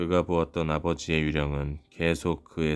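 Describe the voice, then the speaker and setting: Over background music, a man with a very deep, low voice speaks at a fairly slow pace. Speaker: audiobook reader. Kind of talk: audiobook narration for sleep. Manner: soothing, calm.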